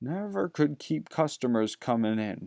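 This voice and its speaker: The speaker uses a put-on character voice with very wide pitch swings. The pace is moderate. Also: man. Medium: read story. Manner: gruff, curt.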